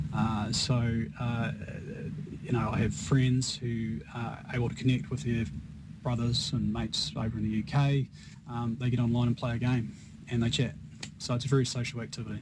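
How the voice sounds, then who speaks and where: With a New Zealand accent, a man at a medium pitch speaks at a moderate pace with ordinary pitch variation and long, frequent pauses, and audible room echo. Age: 40s. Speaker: esports business executive. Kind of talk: radio interview. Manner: halting.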